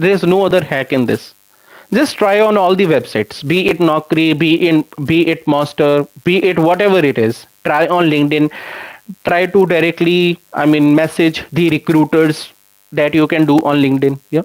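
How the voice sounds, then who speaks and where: In an Indian accent, a man speaks at a moderate pace and fairly high pitch with ordinary pitch variation and very even loudness, the sound dry and close with no echo. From India, Punjab/Chandigarh area. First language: Hindi. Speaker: software developer and YouTube educator. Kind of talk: live stream Q&A with chat. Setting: live stream. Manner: conversational, with fillers.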